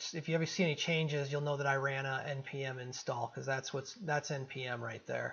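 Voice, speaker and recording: The man's pitch is fairly high, with fairly even intonation. He keeps a fairly quick pace with hardly any pauses. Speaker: coding tutorial presenter. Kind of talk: casual, filler-heavy. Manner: monotone.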